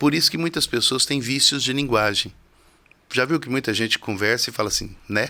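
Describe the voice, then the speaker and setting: His tone is bright and sharp. The man speaks at a medium pitch and a fairly quick pace. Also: ordinary pitch variation, very clean recording, silent background. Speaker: criminal defense lawyer. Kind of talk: studio interview. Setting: TV studio. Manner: simple and direct.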